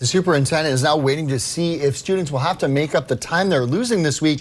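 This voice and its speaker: Talking at a fairly quick pace, a man with an American accent uses an ordinary speaking voice pitched fairly high. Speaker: TV news anchor and reporter. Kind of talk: TV news anchor read.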